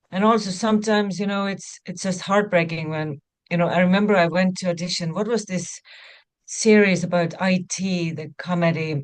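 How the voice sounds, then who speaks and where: Her intonation fairly even, a woman speaks with an Estonian accent. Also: medium pitch for a woman, moderate pace. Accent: Estonian accent, noticeable. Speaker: actor. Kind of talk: interview.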